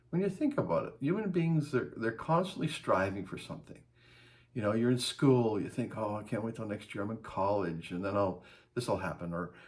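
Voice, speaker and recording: A man talks at a fairly quick pace in a medium-pitched, somewhat breathy voice with very wide pitch swings. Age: 60s. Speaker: life advice vlogger. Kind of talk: casual talk to camera.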